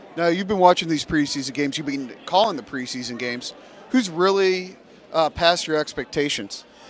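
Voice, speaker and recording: Over noticeable background noise, a man speaks with lively intonation and a fairly high pitch. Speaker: radio interviewer. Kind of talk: radio interview questions.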